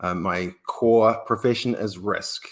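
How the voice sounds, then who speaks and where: A man speaks with a New Zealand accent. His intonation is fairly even and his pace fairly slow. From New Zealand, Wellington. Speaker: risk professional. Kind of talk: panel discussion.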